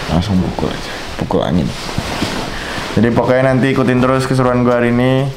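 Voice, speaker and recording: There is music in the background while a man talks. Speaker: vlogger. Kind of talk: casual vlog chat.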